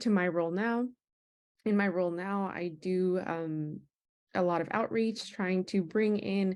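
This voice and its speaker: Recorded very cleanly against a silent background, a woman speaks in a Spanish accent with ordinary pitch variation. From United States, Spanish-speaking family. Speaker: Peace Corps recruiter, former volunteer. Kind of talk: virtual panel discussion.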